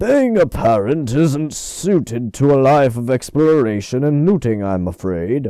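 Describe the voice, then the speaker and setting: Using a put-on character voice, a man speaks at a medium pitch with very wide pitch swings. He keeps a moderate pace with hardly any pauses. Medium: read story. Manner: gentle, earnest.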